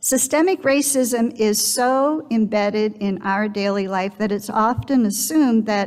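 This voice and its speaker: Pitch varies in an ordinary way as the words come out fairly slowly. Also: woman. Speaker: speaker. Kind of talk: sermon. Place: church. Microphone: headset.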